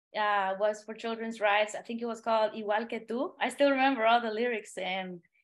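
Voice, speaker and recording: Speaking at a moderate pace with a Spanish accent, a woman has a fairly high pitch against a quiet background. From Honduras. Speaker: singer-songwriter. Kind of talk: podcast interview. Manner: halting.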